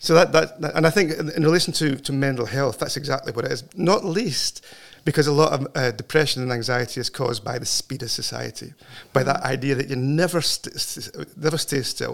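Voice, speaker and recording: Speaking with a Scottish accent, this man has a fairly high pitch. His pace is fairly quick. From Scotland. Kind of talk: interview conversation. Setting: studio.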